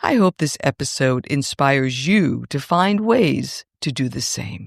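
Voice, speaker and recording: A woman speaks in a very deep, low voice with vocal fry, at a fairly slow pace. Her pitch swings very widely, and the sound is dry and close with no echo. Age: 60s. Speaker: podcast host and wellness coach. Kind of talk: scripted podcast narration.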